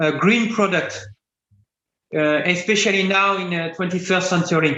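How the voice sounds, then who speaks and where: A man with a French accent speaks at a high pitch and a moderate pace. His intonation is fairly even, with audible room echo. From France. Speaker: composites engineering expert. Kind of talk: Q&A answer in webinar lecture. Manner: halting, many fillers and restarts.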